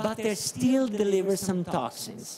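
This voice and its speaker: A high-pitched man's voice in an Italian accent with ordinary pitch variation, over noticeable background noise. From Italy. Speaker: medical professor. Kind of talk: conference talk. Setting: conference stage with audience. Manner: halting.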